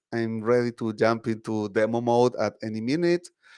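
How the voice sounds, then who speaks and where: The sound is dry and close with no echo as a man speaks at medium pitch. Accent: Spanish. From Chile. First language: Spanish. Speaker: tech advocate presenter. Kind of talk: tech talk presentation. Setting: online video meetup.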